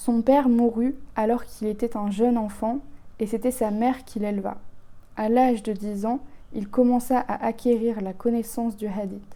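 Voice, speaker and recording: A woman's fairly high, dark and mellow voice, monotone and flat, at a moderate pace. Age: 20s. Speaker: YouTuber. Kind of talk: reading aloud. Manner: halting.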